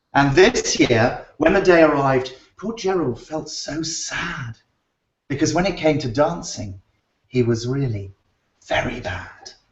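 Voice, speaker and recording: A man talks at a fairly slow pace in a fairly high voice with very wide pitch swings. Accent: British. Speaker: children's book author. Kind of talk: reading aloud to children; casual chat. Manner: animated.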